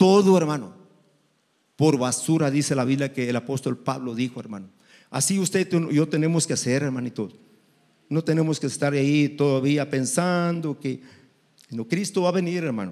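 Against a quiet background, a man with a fairly high pitch talks at a moderate pace with ordinary pitch variation and long, frequent pauses. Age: 60s. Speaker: preacher. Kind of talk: sermon. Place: church. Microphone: handheld.

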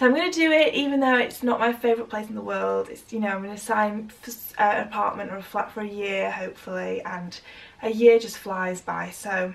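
At a fairly quick pace, a woman speaks with ordinary pitch variation and big swings in loudness. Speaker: vlogger. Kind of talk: casual vlog chat. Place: home room. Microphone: camera far.

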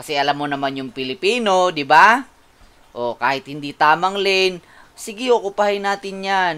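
Lively intonation colors this man's speech. He keeps to a fairly slow pace. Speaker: vlogger. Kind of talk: angry rant, vlog. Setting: in a car. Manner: animated.

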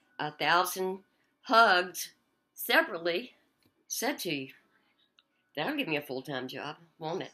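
A woman's upbeat, bright, sharp voice, fairly low in pitch with very wide pitch swings, at a fairly slow pace against a quiet background. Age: old. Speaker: former police officer. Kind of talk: casual talk to camera. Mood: warm, hopeful, pleading. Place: kitchen. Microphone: webcam.

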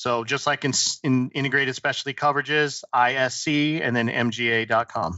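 Against a quiet background with a dry sound and no echo, a man speaks at a moderate pace and medium pitch, with fairly even intonation and very even loudness. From US East Coast, southern New Jersey. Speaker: insurance executive; podcast guest. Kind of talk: interview. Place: home room. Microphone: headset.

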